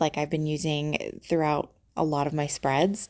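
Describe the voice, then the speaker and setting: Recorded very cleanly over a silent background, a woman speaks quietly with a dark, mellow tone and a very deep, low pitch. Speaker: planner YouTuber. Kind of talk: casual chat. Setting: visiting relatives' home.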